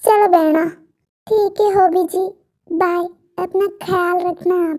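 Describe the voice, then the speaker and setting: Using a put-on character voice, a woman speaks fairly slowly at an extremely high pitch with monotone, flat intonation. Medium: fan dub. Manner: soft, polite.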